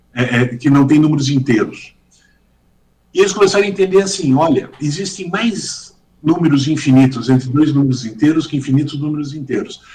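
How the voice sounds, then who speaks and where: Male speech, somewhat breathy, pitched fairly high and varying in an ordinary way. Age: 60s. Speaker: judge and law professor. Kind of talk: podcast interview. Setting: video call.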